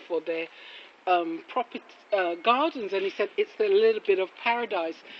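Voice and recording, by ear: Speaking at a moderate pace, a woman uses a medium-pitched voice with ordinary pitch variation.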